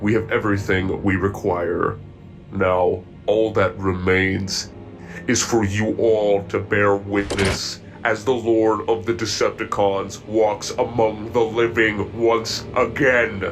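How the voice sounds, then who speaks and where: A man's fairly low put-on character voice at a fairly slow pace, with clear background noise. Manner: calm, clinical.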